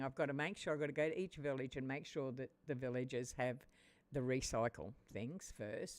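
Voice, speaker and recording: A woman with an Australian accent speaks in a very deep, low voice. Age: 70s. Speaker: gaming streamer. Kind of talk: live game stream commentary. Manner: halting.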